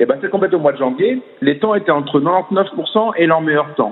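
Very wide pitch swings in a fairly high male voice, delivered at a moderate pace. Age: 40s. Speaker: swimming coach. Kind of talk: interview. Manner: halting, many fillers and repetitions.

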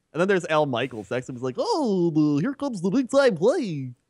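With very wide pitch swings, a man with a fairly high voice talks at a moderate pace in a dry, close sound with no echo. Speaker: gaming YouTuber. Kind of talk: casual chat.

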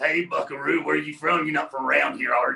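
Putting on a character voice, a man speaks very fast in a raspy tone at a fairly high pitch.

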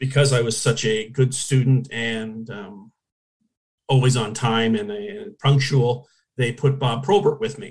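Speaking fairly slowly, a man uses a medium pitch with ordinary variation and a somewhat breathy sound. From Hamilton, Ontario, Canada. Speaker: former hockey goalie. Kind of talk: interview.

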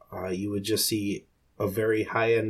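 A man with a somewhat breathy voice at medium pitch talks at a moderate pace. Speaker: fantasy football analyst. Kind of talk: casual chat.

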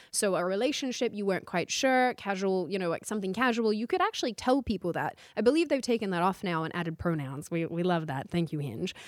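Her intonation is lively, and her pitch is medium. The woman talks at a very fast pace with hardly any pauses. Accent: Australian. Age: 20s. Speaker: political commentary host. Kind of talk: casual chat.

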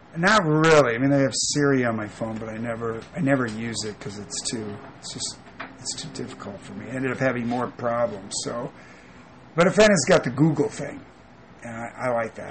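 Over noticeable background noise, a man talks at a fairly quick pace with a medium pitch, ordinary pitch variation and big swings in loudness. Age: 40s. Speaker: landscaper. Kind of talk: interview. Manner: halting.

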